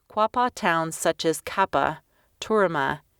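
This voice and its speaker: Recorded very cleanly against a silent background, a woman uses a normal speaking voice at a fairly low pitch with ordinary pitch variation. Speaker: voice actor, audiobook narrator. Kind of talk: audiobook narration, educational.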